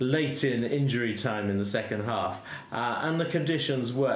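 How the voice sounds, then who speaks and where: Noticeable background noise sits behind a man at medium pitch. He moves at a moderate pace with very wide pitch swings. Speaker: football podcast host. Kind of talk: casual chat. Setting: remote call.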